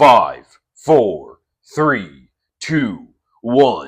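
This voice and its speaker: The speaker uses a put-on character voice with a dramatic tone. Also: man, fairly high pitch for a man. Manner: dramatic voiceover, announcer-like.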